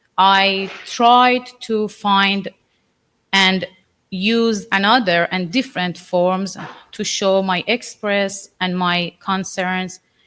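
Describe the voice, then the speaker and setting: A speaker with a Persian accent talks at a very slow pace. The tone is bright and sharp, the intonation fairly even. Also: woman, medium pitch for a woman. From Iran. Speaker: artist. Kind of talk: artist talk to an audience. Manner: halting.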